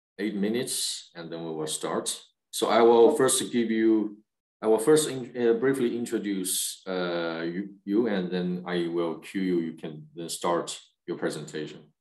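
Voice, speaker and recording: Over a quiet background with audible room echo, a man speaks at a fairly slow pace and fairly low pitch, with ordinary pitch variation and big swings in loudness. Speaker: webinar host. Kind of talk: webinar moderation. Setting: video call. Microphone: video call.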